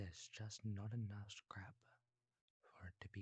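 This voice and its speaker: A fairly low, somewhat breathy male voice. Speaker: ASMR creator. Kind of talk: bedtime story telling.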